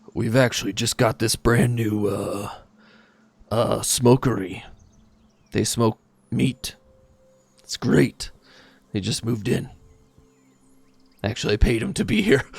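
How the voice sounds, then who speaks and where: In a raspy put-on character voice, the speaker goes at a fairly slow pace with long, frequent pauses. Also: man, medium pitch for a man. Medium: actual play. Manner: casual, relaxed.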